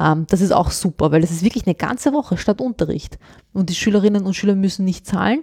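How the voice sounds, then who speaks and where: A woman's somewhat breathy, medium-pitched voice with a dark, mellow tone and lively intonation, very fast in pace, in a dry, close sound with no echo. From born abroad, grew up in Austria. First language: not German (speaking German). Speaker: journalist, former teacher. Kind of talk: interview.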